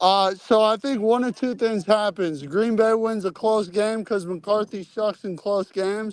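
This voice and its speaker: Loud and high-pitched, a man talks at a fairly slow pace with hardly any pauses and fairly even intonation. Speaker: football coach. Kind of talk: casual chat.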